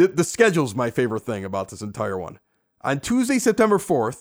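Vocal fry runs through a man's fairly high voice, delivered in a Chicago accent at a moderate pace. His tone is animated, his pitch swings very widely, and the recording is very clean with a silent background. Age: 40s. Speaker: podcast host. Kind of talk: casual chat. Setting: basement bar.

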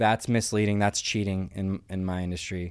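The delivery is monotone, with flat intonation at a moderate pace on a very clean recording with a silent background. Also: man. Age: 30s. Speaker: professional poker player. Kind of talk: casual chat.

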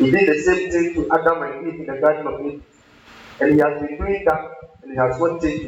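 Against noticeable background noise, a man with a fairly high pitch speaks with fairly even intonation. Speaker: pastor. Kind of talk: sermon. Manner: repetitive.

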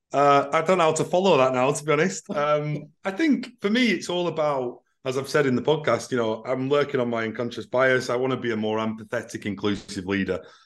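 In a Mancunian accent, a man speaks at a fairly quick pace with hardly any pauses, his medium pitch carried by lively intonation. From Manchester, England. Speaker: recruitment business CEO. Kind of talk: casual panel discussion. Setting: remote call.

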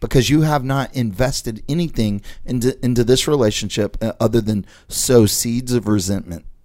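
A man speaks at medium pitch and moderate pace, with ordinary pitch variation and a dark, mellow tone. The recording is very clean, with a silent background. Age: 40s. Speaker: podcast host and real estate investor. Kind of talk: casual chat.

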